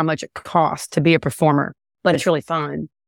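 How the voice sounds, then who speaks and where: A woman's very deep, low voice at a moderate pace, dry and close with no echo, on a very clean recording with a silent background. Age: 40s. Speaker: country singer-songwriter. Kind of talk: casual chat. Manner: hesitant with fillers.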